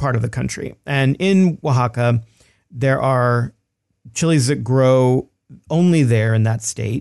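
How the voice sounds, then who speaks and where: With a Texan accent, a man speaks at a fairly slow pace and ordinary pitch variation. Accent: Texan American. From Texas. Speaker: cookbook author. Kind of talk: interview.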